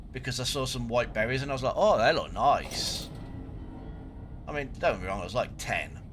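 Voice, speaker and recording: A man at a fairly quick pace with long, frequent pauses, audible room echo, and music in the background. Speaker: gaming streamer. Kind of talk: live gameplay commentary.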